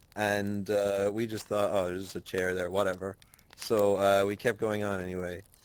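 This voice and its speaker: In an Irish accent, a man talks with a monotone, flat intonation. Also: fairly low pitch for a man, moderate pace. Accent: Irish, milder than usual. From Ireland. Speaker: podcast co-host. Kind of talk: casual chat, storytelling.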